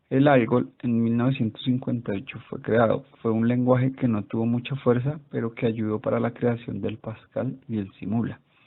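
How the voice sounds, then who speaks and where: Talking with hardly any pauses, a man keeps a monotone, flat intonation at a medium pitch. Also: moderate pace. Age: 30s. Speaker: student. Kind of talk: class presentation.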